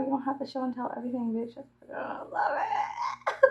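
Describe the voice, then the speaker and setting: A woman with an American accent and a high pitch, over noticeable background noise. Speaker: YouTuber. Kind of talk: casual chat.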